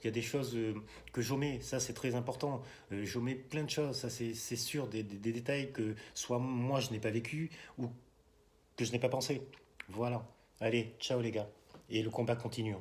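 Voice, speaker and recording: A somewhat breathy man's voice at medium pitch, with fairly even intonation, a moderate pace and long, frequent pauses. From France, Bordeaux. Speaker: political video blogger. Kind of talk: casual monologue vlog. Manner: soft-spoken; halting, many hesitations.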